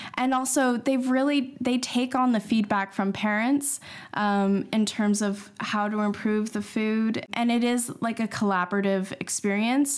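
In a Canadian accent, a woman with an unremarkable speaking voice talks at a fairly slow pace and fairly high pitch, with ordinary pitch variation and very even loudness, recorded very cleanly against a silent background. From Canada. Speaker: school parent. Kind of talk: casual interview.

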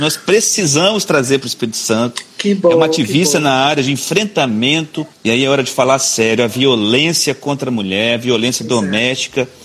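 Hardly pausing, a man talks at a fairly quick pace with a fairly high pitch and lively intonation over noticeable background noise. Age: 40s. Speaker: state politician. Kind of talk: live-stream interview.

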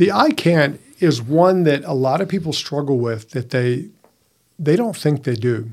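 At a fairly slow pace, a man with a fairly high pitch and lively intonation speaks in a plain, everyday voice. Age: 50s. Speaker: podcast co-host, men's coach. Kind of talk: casual chat.

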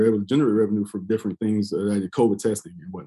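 A man's fairly low, dark, mellow voice in monotone, flat intonation, with an American accent. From US South, South Carolina. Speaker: navy chief petty officer and parking lot investor. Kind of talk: casual interview.

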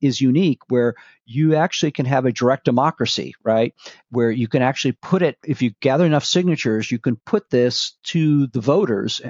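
A man's fairly high voice with a General American accent, an unremarkable speaking voice at a moderate pace with ordinary pitch variation. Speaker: author and policy advisor. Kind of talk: casual interview.

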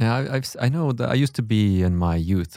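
Recorded very cleanly against a silent background, a man with a Swedish accent has a dark, mellow tone and ordinary pitch variation. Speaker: podcast host. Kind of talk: interview. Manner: halting.

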